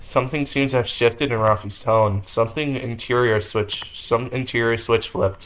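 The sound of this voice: Reading in an unforced voice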